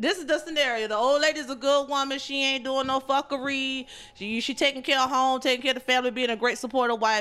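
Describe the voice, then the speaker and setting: Background noise is noticeable as a woman talks at a very fast pace with hardly any pauses. Her pitch is high and her intonation fairly even. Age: 40s. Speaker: podcast guest. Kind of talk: casual chat.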